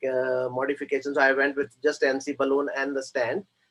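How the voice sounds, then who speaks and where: Speaking very fast, this man has a fairly high pitch. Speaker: interventional cardiologist. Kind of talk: case presentation. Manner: hesitant, many fillers.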